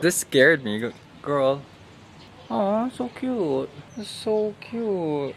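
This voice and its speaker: There is noticeable background noise as a man speaks at a very slow pace. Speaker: travel vlogger. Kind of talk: casual vlog narration. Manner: chatty, filler-heavy.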